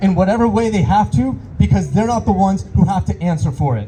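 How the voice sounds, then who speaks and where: This man talks at a fairly quick pace with very wide pitch swings, and noticeable background noise sits behind him. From Iran. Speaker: rally speaker, local business owner. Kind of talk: protest rally speech. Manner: impassioned.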